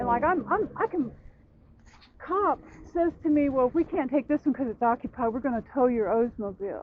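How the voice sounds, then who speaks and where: A high-pitched woman's voice with an American accent, ordinary pitch variation and a moderate pace, over noticeable background noise. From Louisiana. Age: 60s. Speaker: person living in an RV. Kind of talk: casual chat. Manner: animated.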